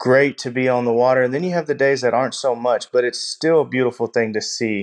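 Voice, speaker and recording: A man with a Texan accent at a medium pitch, with ordinary pitch variation and a quiet background. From Texas, Gulf Coast. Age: 20s. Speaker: shrimper and oyster farmer. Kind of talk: interview.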